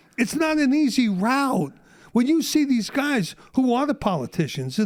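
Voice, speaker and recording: With a New York accent, a man talks in an animated tone at an extremely high pitch, his pitch swinging very widely, on a very clean recording with a silent background. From Brooklyn, New York. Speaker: Vietnam War veteran. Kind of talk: podcast interview answer. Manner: animated, ranting.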